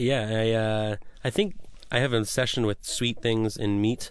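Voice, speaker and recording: With an American accent, a man speaks at a fairly low pitch against a quiet background. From US Pacific Northwest, Washington state. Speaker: chef. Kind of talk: radio interview. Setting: radio studio.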